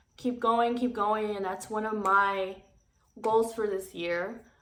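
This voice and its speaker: In a room with audible echo, a woman speaks very slowly at a fairly high pitch with ordinary pitch variation. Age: 20s. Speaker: YouTuber. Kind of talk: casual vlog talk to camera. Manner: halting, many fillers.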